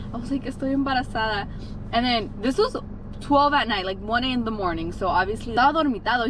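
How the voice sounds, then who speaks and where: A woman with high pitch at a very fast pace, lively intonation and noticeable background noise. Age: 20s. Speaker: vlogger. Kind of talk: casual vlog storytelling. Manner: chatty, fast.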